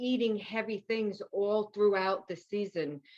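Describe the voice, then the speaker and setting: A woman speaks with a New York accent at a medium pitch. Her intonation stays fairly even. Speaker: nutrition and wellness coach, author. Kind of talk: interview. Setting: podcast.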